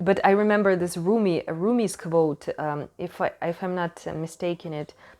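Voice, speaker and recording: A woman with a non-native accent speaks at a fairly slow pace and medium pitch. Her pitch varies in an ordinary way over a quiet background. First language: not English. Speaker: tarot reader. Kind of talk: tarot reading monologue. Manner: halting.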